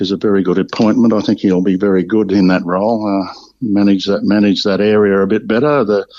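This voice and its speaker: Speaking at a fairly quick pace with an Australian accent, a man delivers his words in a dark, mellow tone with monotone, flat intonation. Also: fairly low pitch for a man, very even loudness. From Victoria, Australia (Bendigo). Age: 70s. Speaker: retired football player. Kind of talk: interview. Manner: halting, many fillers.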